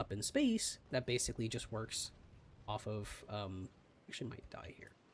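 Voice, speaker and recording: This man is soft-spoken and somewhat breathy. He keeps a moderate pace. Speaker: gaming streamer. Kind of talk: live gameplay commentary.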